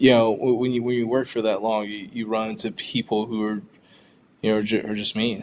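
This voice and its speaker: At a fairly quick pace, a man speaks at a medium pitch in a monotone, flat intonation. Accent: American. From US South, Georgia. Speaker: engineer and leader who stutters. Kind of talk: interview. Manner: halting, with repetitions and blocks.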